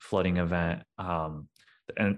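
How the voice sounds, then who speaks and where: Over a quiet background, a man with a Midwestern American accent speaks at a very deep, low pitch. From St. Louis, Missouri suburbs. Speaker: climate equity director. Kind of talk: interview testimony.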